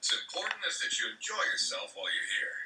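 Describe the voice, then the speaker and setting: A put-on character voice from a man, raspy and extremely high-pitched, at a very fast pace. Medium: cartoon. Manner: reassuring, salesy.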